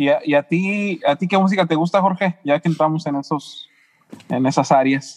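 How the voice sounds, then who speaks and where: A man's normal speaking voice, fairly high in pitch, with a dry, close sound and no echo. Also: ordinary pitch variation, moderate pace. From San Luis Potosí, Mexico. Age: 40s. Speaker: podcast co-host. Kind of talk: casual interview chat.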